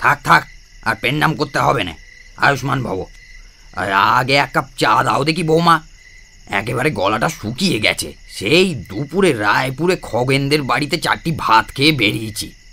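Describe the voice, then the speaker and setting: In a put-on character voice, a man speaks at a moderate pace with lively intonation and a medium pitch. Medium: audio drama. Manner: gruff, scolding.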